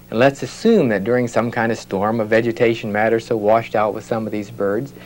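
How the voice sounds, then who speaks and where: A man at a moderate pace, with light background noise. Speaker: biologist guest; guest. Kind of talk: interview explanation; interview answer. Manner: conversational, informal. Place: office.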